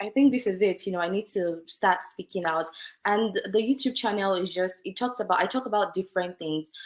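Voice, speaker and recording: A woman talks at a fairly quick pace. Her pitch is medium, with ordinary pitch variation. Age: young. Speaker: lawyer. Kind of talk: interview. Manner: conversational with fillers.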